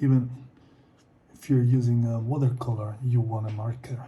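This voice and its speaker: Speaking at a fairly slow pace with a non-native accent, a man uses a dark, mellow, somewhat breathy tone at medium pitch in a flat monotone. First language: not English. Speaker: artist. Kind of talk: casual talk while drawing. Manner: halting.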